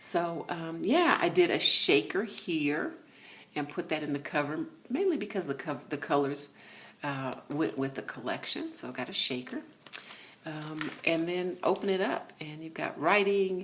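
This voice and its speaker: Mumbling at a fairly slow pace, a woman speaks with a fairly low pitch amid noticeable background noise. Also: ordinary pitch variation. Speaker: craft YouTuber. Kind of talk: casual craft flip-through video. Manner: mumbling, distracted.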